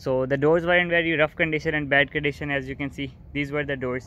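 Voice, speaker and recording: Fairly quick, fairly even speech from a man, dry with no echo, over light background noise. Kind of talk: casual vlog chat. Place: garage. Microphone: phone near.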